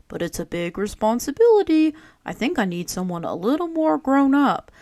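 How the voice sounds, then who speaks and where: A female-sounding put-on character voice with a gentle tone and high pitch moves at a moderate pace through very wide pitch swings. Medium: read story. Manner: gentle, patient.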